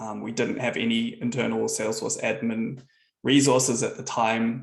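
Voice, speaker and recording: Speaking at a fairly quick pace, a man talks with a New Zealand accent. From New Zealand, Auckland. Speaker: software founder. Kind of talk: presentation.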